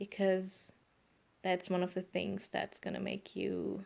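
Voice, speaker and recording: Fairly slow speech from a woman with a German accent. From Germany. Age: 30s. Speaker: podcaster. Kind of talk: casual monologue. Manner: halting, many fillers.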